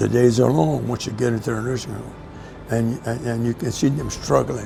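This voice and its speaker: With music in the background and audible room echo, a man speaks at a medium pitch and a moderate pace, his intonation lively. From south Louisiana. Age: 90s. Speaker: war veteran. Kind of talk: interview testimony. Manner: halting, with repetitions.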